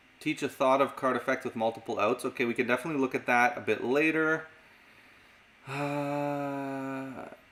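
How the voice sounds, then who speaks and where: A man in a slight Canadian accent speaks at a medium pitch with monotone, flat intonation. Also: moderate pace. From Canada. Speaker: magic and mentalism teacher. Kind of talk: live stream Q&A.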